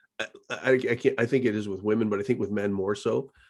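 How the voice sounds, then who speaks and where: With an ordinary speaking voice, a man talks at a fairly quick pace, his pitch fairly low and his intonation fairly even. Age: 40s. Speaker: podcast host. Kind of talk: interview.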